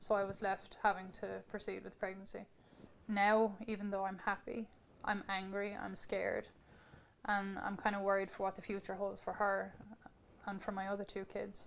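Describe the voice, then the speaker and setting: A woman with an Irish accent, medium in pitch, monotone and flat, at a moderate pace with long, frequent pauses. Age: 20s. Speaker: mother sharing personal experience. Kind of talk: testimony.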